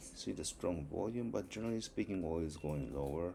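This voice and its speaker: A man's intonation rises and falls in a lively way while noticeable background noise carries on behind him. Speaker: stock market commentator. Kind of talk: market review screen walkthrough. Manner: halting, many fillers.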